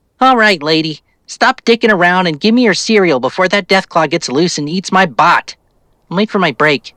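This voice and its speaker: Putting on a character voice, a man speaks at a high pitch in a nasal tone. He keeps a moderate pace. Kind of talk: casual, impatient.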